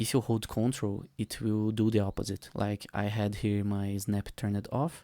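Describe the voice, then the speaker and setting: The voice has a dark, mellow tone and a non-native accent, moving at a fairly slow pace. The sound is dry and close with no echo, on a very clean recording with a silent background. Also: man. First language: not English. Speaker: 3D artist. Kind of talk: tutorial. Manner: casual, with hesitations.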